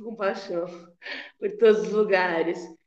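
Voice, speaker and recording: Audible room echo surrounds a woman's fairly high-pitched voice. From São Paulo city, Brazil. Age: 40s. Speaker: poet. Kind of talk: casual chat. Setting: video call.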